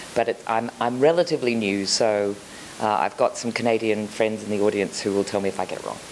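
An Australian accent at a fairly quick pace over noticeable background noise. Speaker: children's TV programming executive. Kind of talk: conference panel discussion.

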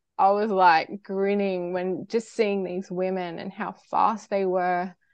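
A woman speaks in an Australian accent. Her pitch is medium. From Australia, far north Queensland (Cairns). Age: 30s. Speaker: triathlete. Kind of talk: interview.

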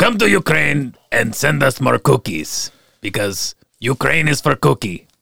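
Putting on a character voice, a man speaks in a raspy, medium-pitched voice at a moderate pace. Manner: comic.

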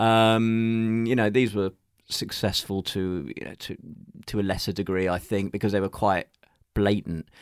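In a very clean recording with a silent background, a man with a London accent speaks at a moderate pace in a fairly low pitch, his intonation fairly even and the sound dry and close with no echo. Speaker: journalist and music counterculture historian. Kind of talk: interview conversation.

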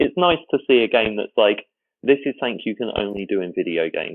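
Fairly quick speech with an English accent. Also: man. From England. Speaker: fan community site founder. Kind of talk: casual chat. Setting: remote call across time zones.

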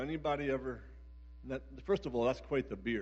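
There is audible room echo. The man talks with an American accent. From US Northeast, Philadelphia area. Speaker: pastor. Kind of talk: sermon. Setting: church service with live audience.

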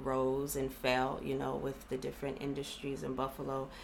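Heard with audible room echo, a woman with an American accent speaks at a very deep, low pitch. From Los Angeles County, California. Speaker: economic development program representative. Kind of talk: interview.

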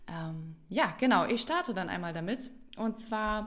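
The woman's intonation is lively. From Hamburg, northern Germany. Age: 30s. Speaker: parenting podcast co-host. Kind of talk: casual chat. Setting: at a kitchen table.

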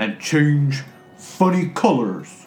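Over faint background music, a man uses a put-on character voice with a fairly high pitch. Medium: actual play. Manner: slow, terse, humming "hmm" before speaking.

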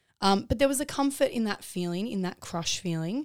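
On a very clean recording with a silent background, a woman with an Australian accent talks at a fairly quick pace with lively intonation. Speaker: podcast host. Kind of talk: casual chat.

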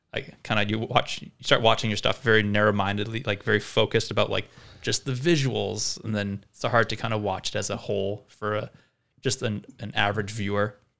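This very clean recording with a silent background captures a man speaking at a fairly quick pace and a fairly low pitch. His tone is bright and sharp, and his intonation is fairly even. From Vancouver, Canada (born in South Africa). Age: 30s. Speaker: cinematographer. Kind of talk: casual interview.

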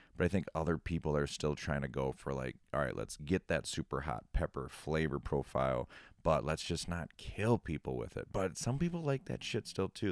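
A man with an American accent speaks at a very deep, low pitch with vocal fry and lively intonation, at a moderate pace with hardly any pauses. The sound is dry and close with no echo, on a very clean recording with a silent background. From Minnesota. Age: 30s. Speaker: podcast co-host, hot sauce maker. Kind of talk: casual chat.

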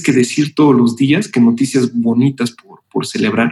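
An unremarkable speaking voice from a man, medium in pitch, at a fairly slow pace. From Mexico City. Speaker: music and marketing executive. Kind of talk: interview.

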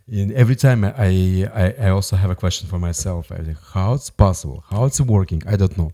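With a strong Russian accent, a man talks at a fairly quick pace with hardly any pauses, his very deep, low pitch carrying a dark, mellow tone and ordinary pitch variation. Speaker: musician. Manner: halting, limited English.

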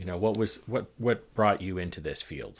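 A man uses a plain, everyday voice at a moderate pace, his pitch varying in an ordinary way. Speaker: podcast host. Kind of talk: casual interview conversation.

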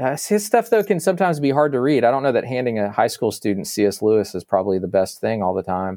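A man with an American accent talks very fast, hardly pausing, at a medium pitch. His tone is dark and mellow, with very wide pitch swings. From Northern Virginia, later Arkansas. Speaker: campus minister. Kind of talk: interview conversation.

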